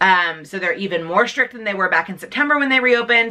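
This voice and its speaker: Here a woman talks at a very fast pace. Her intonation is lively. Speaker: beauty and lifestyle youtuber. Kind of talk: casual vlog chat.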